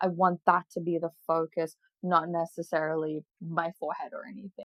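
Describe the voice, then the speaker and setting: A woman speaks at a moderate pace. Her fairly low voice shows ordinary pitch variation. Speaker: beauty vlogger. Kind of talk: tutorial. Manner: casual and chatty.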